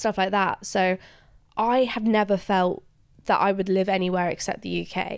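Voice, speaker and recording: A woman with an English accent speaks at a medium pitch and a moderate pace. Her intonation is fairly even. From England. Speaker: student radio interviewer. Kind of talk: casual interview chat.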